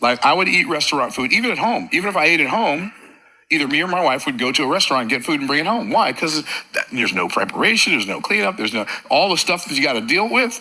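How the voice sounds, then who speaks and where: A man's high voice racing at a very fast pace with very wide pitch swings, over noticeable background noise. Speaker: motivational speaker. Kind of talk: motivational talk.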